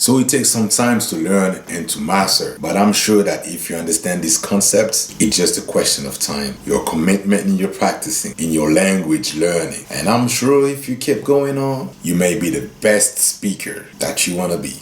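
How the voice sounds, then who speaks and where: Against noticeable background noise, a man with a Congolese accent speaks at a moderate pace with hardly any pauses, his fairly low voice carrying lively intonation. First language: Lingala. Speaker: guitar teacher. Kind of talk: tutorial; channel outro.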